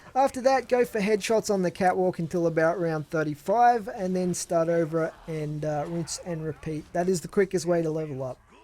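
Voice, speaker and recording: The speaker has a Tasmanian accent and a moderate pace. There are hardly any pauses. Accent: Australian, Tasmanian. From Australia, Tasmania. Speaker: gaming YouTuber. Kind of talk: Q&A video answering viewer questions. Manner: casual, hesitant with fillers.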